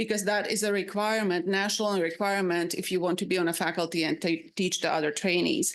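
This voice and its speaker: A medium-pitched woman with a Slovak accent, ordinary pitch variation and a fairly quick pace against a quiet background. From Slovakia. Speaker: psychiatrist and residency faculty. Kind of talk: panel presentation. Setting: public advisory panel meeting. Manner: halting, with many fillers.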